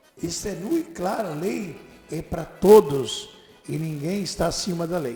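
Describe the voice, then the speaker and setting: Lively intonation from a man, with background music. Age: 70s. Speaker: radio host. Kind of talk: political commentary. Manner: emphatic.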